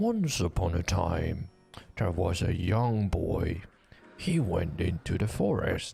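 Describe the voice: Faint music plays in the background as a put-on character voice speaks at a fairly slow pace, with ordinary pitch variation and very even loudness. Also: man, very deep, low pitch for a man.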